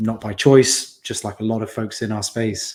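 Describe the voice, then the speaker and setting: Recorded very cleanly against a silent background, a man with a British accent talks at a fairly low pitch and moderate pace. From UK. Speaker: community founder in cybersecurity. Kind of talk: podcast interview. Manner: hesitant, many fillers.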